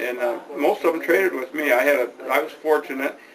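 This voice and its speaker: A fairly high-pitched man with an American accent and ordinary pitch variation, over noticeable background noise. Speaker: retired small-business owner and village council member. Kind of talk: oral history interview. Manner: halting, with repeated words.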